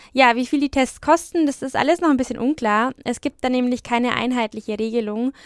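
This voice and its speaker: A woman's high voice with a slight Franconian accent, at a moderate pace, in a very clean recording with a silent background. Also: dry, close sound with no echo. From Franconia, Germany (Franconian Lake District). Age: 20s. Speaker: trainee journalist and podcast host. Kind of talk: news podcast presenting and interviewing.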